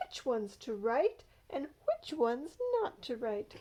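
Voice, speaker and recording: A woman's high, put-on character voice with a gentle tone, at a fairly slow pace. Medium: read story. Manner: gentle, kindly.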